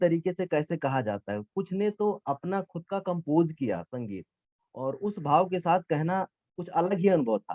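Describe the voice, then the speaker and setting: His pitch runs high for a man, and the man's voice rises and falls with ordinary pitch variation. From eastern Uttar Pradesh, India. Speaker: geography teacher and competition judge. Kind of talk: vote of appreciation at an event. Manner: informal, with hesitations.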